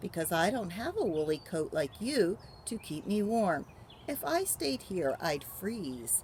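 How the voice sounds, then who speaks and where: A woman's put-on character voice at medium pitch, fairly slow, with very wide pitch swings and clear background noise. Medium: read story. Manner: breezy, self-assured.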